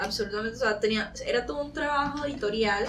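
Through noticeable background noise and audible room echo, a woman speaks at a fairly quick pace. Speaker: podcast co-host. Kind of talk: casual chat.

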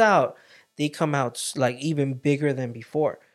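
He has a plain, everyday voice. His pitch is fairly high for a man. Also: very clean recording, silent background. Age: 30s. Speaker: podcast co-host. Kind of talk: casual faith-based chat.

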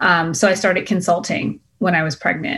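With an American accent and an unremarkable speaking voice, a woman talks at a moderate pace and a fairly low pitch. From Boston, US. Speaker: entrepreneur, clothing brand founder. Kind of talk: interview.

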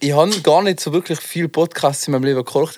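The man talks at a very fast pace with a Tyrolean accent. His intonation stays fairly even. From Tyrol, Austria. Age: 20s. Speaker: freestyle skier and rapper. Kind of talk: casual chat.

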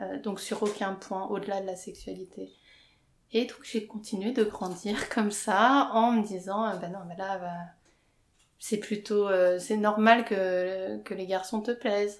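Very slowly and in a medium pitch, a woman speaks with monotone, flat intonation and big swings in loudness. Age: 30s. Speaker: interviewee sharing coming-out story. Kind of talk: personal testimony interview. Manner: hesitant, many fillers.

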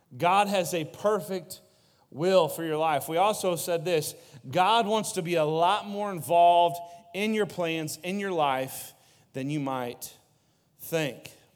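A man's high-pitched voice at a very slow pace, with audible room echo. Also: ordinary pitch variation. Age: 30s. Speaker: youth pastor. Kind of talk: sermon.

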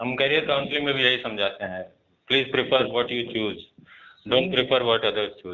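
Speaking at a moderate pace, a man has a normal speaking voice at a medium pitch with ordinary pitch variation. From eastern Uttar Pradesh (Ballia). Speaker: podcast host. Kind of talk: interview.

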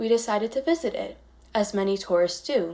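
A woman with an American accent speaks at a moderate pace in an unremarkable speaking voice, with medium pitch and ordinary pitch variation. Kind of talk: prepared personal essay read aloud.

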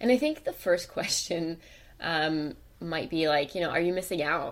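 At a moderate pace, a woman speaks with ordinary pitch variation in a plain, everyday voice. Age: 30s. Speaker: podcast co-host, travel social media creator. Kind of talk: casual chat.

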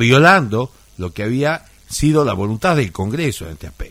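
A man's voice with very wide pitch swings. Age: 60s. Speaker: lawyer and radio co-host. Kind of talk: radio political commentary. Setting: radio studio. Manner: halting with frequent repetitions.

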